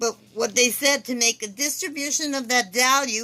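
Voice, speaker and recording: In a bright, sharp tone, a woman speaks at a moderate pace with ordinary pitch variation. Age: 60s. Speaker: former trust beneficiary making a complaint. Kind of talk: personal complaint monologue. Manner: halting, with repetitions.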